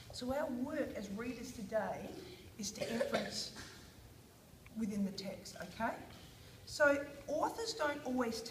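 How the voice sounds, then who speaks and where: Speaking with an Australian accent, a woman with a high voice leaves long, frequent pauses amid audible room echo. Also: ordinary pitch variation, moderate pace. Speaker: teacher. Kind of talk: guided reading lesson with children.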